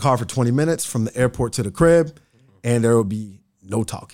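A man with an American accent and a plain, everyday voice, medium in pitch, at a fairly quick pace in a very clean recording with a silent background. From Nebraska, Bellevue (Omaha suburb). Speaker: trauma healing coach. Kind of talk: casual interview conversation. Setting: studio.

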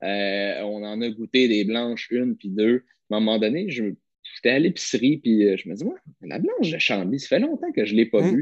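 This man speaks in a Quebec accent at a moderate pace, his pitch medium. The sound is dry and close, with no echo. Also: ordinary pitch variation. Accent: Québécois French. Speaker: podcast co-host. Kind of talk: casual chat.

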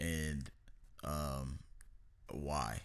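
A man speaks in an animated tone. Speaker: podcast host. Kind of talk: casual chat. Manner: animated, profane.

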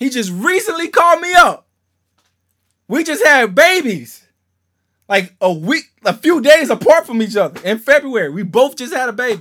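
An extremely high-pitched male voice, raised and projected, animated with a bright, sharp tone and very wide pitch swings, at a moderate pace with long, frequent pauses, on a very clean recording with a silent background. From Louisiana (Shreveport), US South. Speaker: pastor. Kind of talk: sermon.

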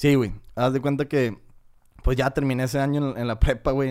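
At a fairly quick pace, a man speaks at medium pitch in a northern Mexican accent. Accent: northern Mexican (norteño) Spanish. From northern Mexico, Cadereyta, Nuevo León. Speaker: manufacturing engineer. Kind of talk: casual chat.

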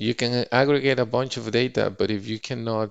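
This man speaks with a Spanish accent. His intonation stays fairly even. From Mexico. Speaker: finance executive. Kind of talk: podcast interview.

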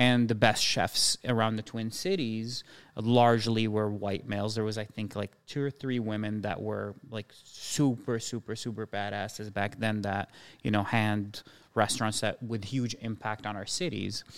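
With a normal speaking voice, a man speaks fairly low and with fairly even intonation. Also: moderate pace. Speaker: chef and restaurateur. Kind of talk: casual chat.

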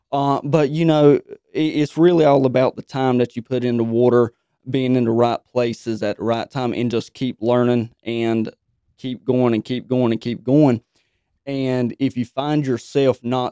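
Recorded with a dry, close sound and no echo, a man with a Southern US accent speaks slowly-ish, at a fairly slow pace, in a dark, mellow tone with a medium pitch and fairly even intonation. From North Carolina. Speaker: tournament angler. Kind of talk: interview.

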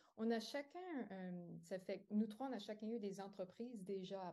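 A woman's dark, mellow voice at a very slow pace. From New Brunswick. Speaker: yoga teacher and entrepreneur. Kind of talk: interview.

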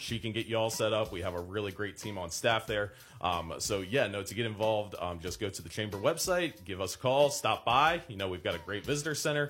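A man's fairly low voice at a fairly quick pace. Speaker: young professionals group chair. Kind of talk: radio interview. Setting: studio. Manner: smooth broadcast-style delivery.

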